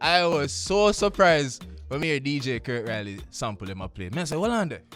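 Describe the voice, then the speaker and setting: A man speaks at a moderate pace with a Jamaican accent. His pitch swings very widely, with music playing in the background. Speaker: radio host. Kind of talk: radio show monologue. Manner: upbeat, casual.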